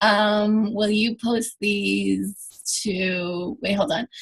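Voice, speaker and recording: Somewhat breathy, a woman talks with a fairly high pitch. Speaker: direct sales team leader. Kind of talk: team training call. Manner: fast; animated.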